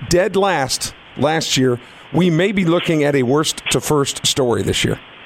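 A man's fairly high voice with lively intonation and very even loudness, at a fairly slow pace over noticeable background noise. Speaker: radio host. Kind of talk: live radio sports talk show. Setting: studio.

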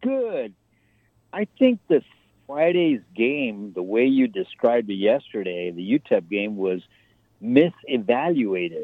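At a fairly slow pace, a man with a medium pitch swings his pitch very widely. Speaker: caller. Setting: phone call.

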